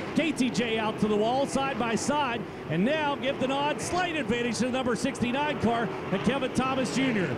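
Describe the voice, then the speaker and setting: Loudness stays very even with ordinary pitch variation, against noticeable background noise. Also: man, extremely high pitch for a man. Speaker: race announcer. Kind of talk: live race commentary. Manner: fast, rapid-fire, excitable play-by-play; loud, animated, showman-like.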